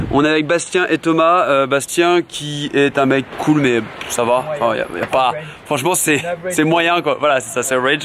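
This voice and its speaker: Noticeable background noise runs under this recording. A man speaks in a fairly high pitch. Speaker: vlogger. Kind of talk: vlog to camera. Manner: casual, animated.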